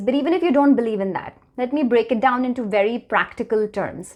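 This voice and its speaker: A woman with an Indian accent talks at a fairly quick pace. Her pitch is high. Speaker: wellness vlogger. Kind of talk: talking-head vlog.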